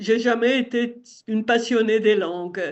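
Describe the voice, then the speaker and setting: The speaker talks at a very slow pace with fairly even intonation in an Italian accent. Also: woman. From Italian-speaking southern Switzerland. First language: Italian (speaking French). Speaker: retired teacher and website editor. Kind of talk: interview.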